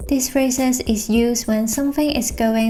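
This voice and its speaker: A woman speaks with a Hong Kong accent. Her voice is somewhat breathy, with fairly even intonation. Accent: Hong Kong accent, Cantonese-style English. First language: Cantonese. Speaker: illustrator and designer. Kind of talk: explainer video.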